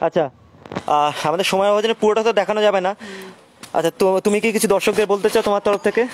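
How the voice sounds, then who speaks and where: The sound is dry with no echo, with light background noise. Loudness stays very even and intonation fairly even. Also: man, high pitch for a man. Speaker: online craft showcase host. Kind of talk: live product showcase. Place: garden.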